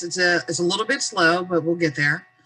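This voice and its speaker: Music plays behind a woman speaking at medium pitch with an American accent. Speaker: adult education teacher. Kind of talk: webinar presentation. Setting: video call. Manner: fast.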